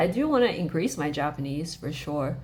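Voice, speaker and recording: A woman talks at a moderate pace. Her voice carries audible room echo. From Australia. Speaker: vlogger, language learner. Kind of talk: casual chat. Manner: casual, many filler words.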